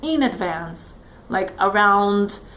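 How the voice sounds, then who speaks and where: Audible room echo surrounds a woman speaking with a Brazilian Portuguese accent and ordinary pitch variation. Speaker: test taker sharing exam tips. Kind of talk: casual tutorial vlog. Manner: hesitant, many fillers.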